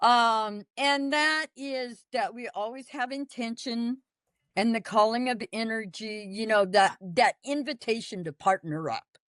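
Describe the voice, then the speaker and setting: Against a quiet background, with a dry, close sound and no echo, a woman with an unremarkable speaking voice talks fairly slowly, her fairly high voice carrying lively intonation. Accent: American. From US Southwest, Apache reservation. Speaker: Apache ceremonialist and teacher. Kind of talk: interview teaching.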